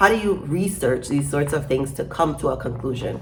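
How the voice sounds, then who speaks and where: A woman with an American accent speaks with very wide pitch swings. Audible echo fills the room around her. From Caribbean, Saint Croix (US Virgin Islands). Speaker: YouTuber with a doctorate, social commentator. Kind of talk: casual vlog monologue. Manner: conversational, with frequent fillers and repetitions.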